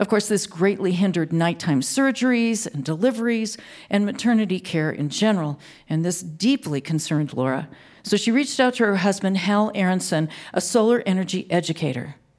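A woman talks fairly quickly at a medium pitch, with lively intonation. Hers is an unremarkable speaking voice. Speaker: radio co-host and announcer. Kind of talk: scripted narration.

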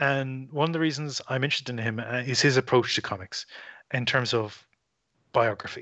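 This man has an Irish accent and a medium pitch. He talks at a fairly quick pace with fairly even intonation. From Ireland. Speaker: writer and podcaster. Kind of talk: casual interview chat.

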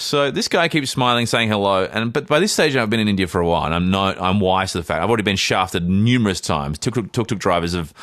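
Talking at a very fast pace with hardly any pauses, a man with an Australian accent keeps a very even loudness, a fairly low pitch and lively intonation. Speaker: podcast co-host and actor. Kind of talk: casual chat, storytelling.

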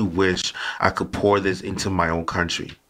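The man's voice has a bright, sharp tone. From Nigeria. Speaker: podcast host, guest. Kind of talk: conversational discussion.

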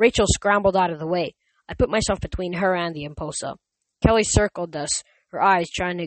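The background stays quiet. What we hear is a natural reading voice.

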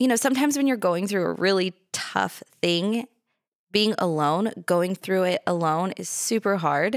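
A woman with an American accent, medium pitch and lively intonation, at a fairly slow pace, in a dry, close sound with no echo on a very clean recording with a silent background. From California, Los Angeles South Bay. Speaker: podcast co-host. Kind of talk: casual chat.

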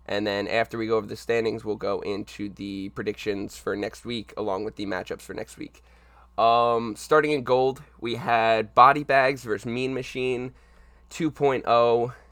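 A man with a normal speaking voice, medium pitch, moderate pace, fairly even intonation, and big swings in loudness. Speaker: league podcast host and game videographer. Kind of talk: casual podcast chat. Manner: casual, chatty.

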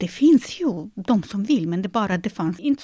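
A somewhat breathy woman at a moderate pace, with very wide pitch swings. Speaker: concert pianist and piano teacher. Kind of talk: interview. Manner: halting, frequent repetitions.

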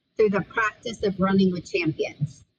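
The sound is dry and close with no echo as a woman speaks in a somewhat breathy voice. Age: 50s. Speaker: author and speaker. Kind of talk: interview.

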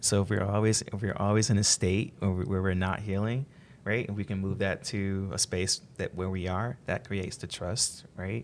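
Over a silent background in a very clean recording, a man with an unremarkable speaking voice talks at a fairly low pitch and moderate pace, his intonation fairly even. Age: young. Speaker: podcast co-host, real estate agent. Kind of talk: interview.

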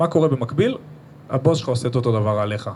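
A man's medium-pitched voice, very fast and with lively intonation. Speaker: marketing professional. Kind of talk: live podcast interview with audience. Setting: stage with live audience.

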